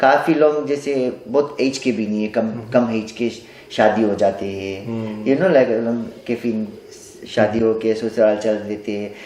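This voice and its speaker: Noticeable background noise sits under a man's medium-pitched voice, which shows ordinary pitch variation. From Nadi, Fiji. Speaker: stage singer. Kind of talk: interview answer.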